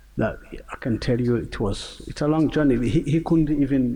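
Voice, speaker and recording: A man speaks with a Rwandan accent at a moderate pace, his medium-pitched voice dark and mellow in tone. His pitch varies in an ordinary way, with some vocal fry. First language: Kinyarwanda. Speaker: singer and genocide survivor. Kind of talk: panel discussion. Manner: halting.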